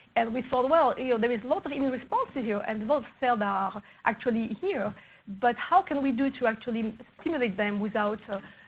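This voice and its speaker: A woman with a fairly high pitch talks at a fairly quick pace with ordinary pitch variation over noticeable background noise. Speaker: research scientist. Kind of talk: conference talk. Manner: halting.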